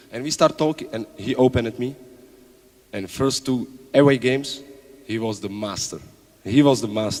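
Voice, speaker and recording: With a Czech accent, a man speaks at a moderate pace and medium pitch with ordinary pitch variation, big swings in loudness, and long, frequent pauses over noticeable background noise. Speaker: basketball coach. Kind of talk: panel talk at event. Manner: halting.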